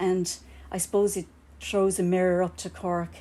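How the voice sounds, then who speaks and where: In a Kerry accent, a dark, mellow voice speaks at a moderate pace with monotone, flat intonation on a very clean recording with a silent background. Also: woman. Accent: Kerry Irish. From Ireland, County Kerry. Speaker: architect. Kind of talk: public talk. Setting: live event in a bar with audience.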